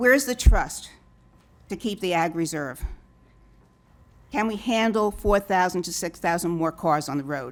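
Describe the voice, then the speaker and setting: Lively intonation marks a woman speaking with a New York accent at a moderate pace. The recording is very clean, with a silent background. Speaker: public commenter at hearing. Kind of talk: public comment.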